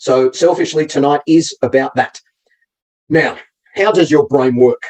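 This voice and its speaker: The sound of this man's voice is dry and close, with no echo at all. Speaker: motivational coach. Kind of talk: live webinar talk. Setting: online live stream. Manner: fast.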